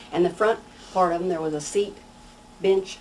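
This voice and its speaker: Speaking with a Missouri accent, a woman uses a fairly low pitch and fairly even intonation at a fairly quick pace over noticeable background noise. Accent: Midwestern American, Missouri. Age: 60s. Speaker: local resident sharing memories. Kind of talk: oral history interview.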